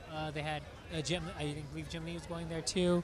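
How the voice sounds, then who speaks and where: A man's high voice at a moderate pace over crowd noise in the background. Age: 30s. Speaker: podcast host. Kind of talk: casual chat. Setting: convention floor.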